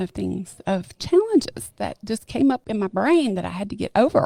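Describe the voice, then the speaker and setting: A woman's voice, dry and close with no echo. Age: 60s. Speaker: fitness gym member. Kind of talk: podcast interview answer. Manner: casual, chatty.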